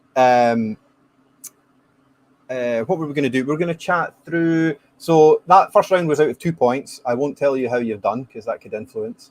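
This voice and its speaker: Someone with a Scottish accent speaks at a moderate pace with ordinary pitch variation. The sound is dry and close, with no echo. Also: man, fairly high pitch for a man. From Scotland. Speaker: whisky podcast host. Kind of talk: casual chat.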